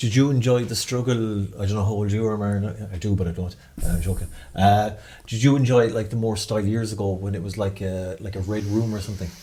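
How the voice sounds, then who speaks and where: A man with a slight Irish accent speaks at a very fast pace in a fairly low, somewhat breathy voice, his intonation fairly even against audible room echo. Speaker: podcast host. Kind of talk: casual interview chat. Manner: clear careful pronunciation.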